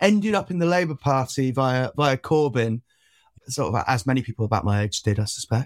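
Moving at a fairly quick pace, a man at medium pitch and with a slight Welsh accent makes very wide pitch swings. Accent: barely Welsh, little local. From South Wales (Penarth). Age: 20s. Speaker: left-wing activist and union worker. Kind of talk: casual interview.

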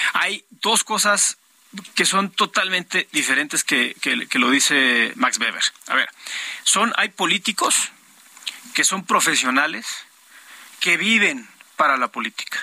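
A man talks fairly slowly with a high pitch, pausing long and often, his pitch swinging very widely. The sound is dry and close with no echo, though background noise is noticeable. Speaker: politician. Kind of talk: political debate.

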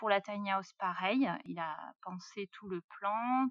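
A woman at medium pitch. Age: 30s. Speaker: self-builder of a tiny house. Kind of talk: interview. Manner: hesitant, many fillers.

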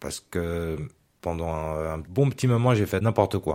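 This man's voice is very deep and low, captured in a very clean recording against a silent background. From Geneva, Switzerland. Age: 30s. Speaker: brain injury survivor. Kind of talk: personal testimony.

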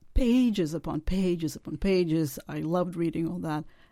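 Lively intonation and a dark, mellow tone from a woman at a fairly low pitch and a moderate pace. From Czechoslovakia (Prague), born in Moscow. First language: Russian and Czech. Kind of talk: interview about her memoir.

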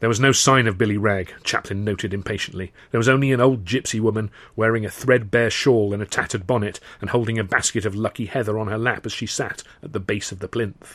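In a very clean recording with a silent background, a man speaks at a very fast pace. His fairly low pitch carries an animated tone. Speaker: audiobook narrator. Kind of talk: literary audiobook reading, first-person comic novel narration with character voices. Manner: animated, wry, dryly comic storytelling with a performer's timing.

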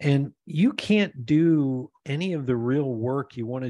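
Speaking with an American accent, this man varies his pitch in an ordinary way. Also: quiet background. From Pennsylvania, US. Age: 60s. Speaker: podcast host and author. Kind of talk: casual chat. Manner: animated.

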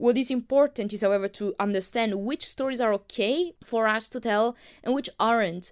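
On a very clean recording with a silent background, a woman speaks with a strong non-native accent. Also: ordinary pitch variation, moderate pace. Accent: thick non-native. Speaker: podcast host, filmmaker. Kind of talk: solo podcast monologue. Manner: hesitant, many fillers.

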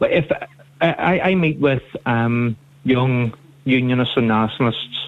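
The speaker is a man with a Northern Irish accent. His pitch variation is ordinary. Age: 30s. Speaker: radio phone-in caller. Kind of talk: phone-in call.

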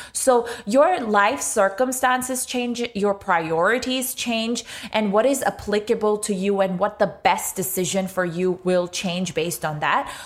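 The speaker goes at a fairly slow pace with hardly any pauses and ordinary pitch variation, amid noticeable background noise. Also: woman, medium pitch for a woman. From Pakistan. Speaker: social entrepreneur, financial educator. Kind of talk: interview.

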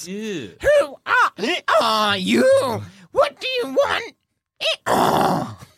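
A man's put-on character voice at a very slow pace, broken by long, frequent pauses. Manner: flustered, anxious, suspicious.

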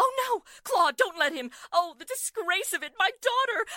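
In a put-on character voice, a woman speaks at an extremely high pitch with a bright, sharp tone, lively intonation and a moderate pace, the sound dry and close with no echo.

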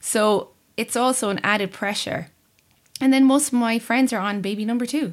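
A woman speaks with a fairly high pitch at a moderate pace. Her pitch varies in an ordinary way. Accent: Irish. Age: 30s. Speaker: sanctions analyst. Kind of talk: casual chat.

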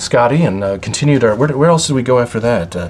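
With an American accent, a man talks at a medium pitch in a plain, everyday voice with lively intonation. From US Upper Midwest, Minnesota. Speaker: podcast co-host. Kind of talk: casual chat.

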